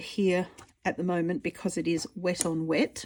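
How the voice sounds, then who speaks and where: A woman with an Australian accent, her tone dark and mellow, medium in pitch at a moderate pace, on a very clean recording with a silent background. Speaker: artist and art teacher. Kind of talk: tutorial. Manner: casual, rambling with fillers.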